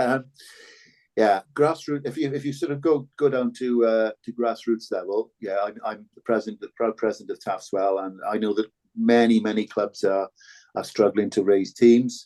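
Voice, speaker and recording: Here a man with a Cardiff accent speaks at medium pitch in a dark, mellow tone. His pitch varies in an ordinary way at a moderate pace, with a dry, close sound and no echo. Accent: Cardiff Welsh English. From Wales, Cardiff (Ely). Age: 60s. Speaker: former rugby player and broadcaster. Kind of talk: podcast interview. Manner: halting, many repetitions.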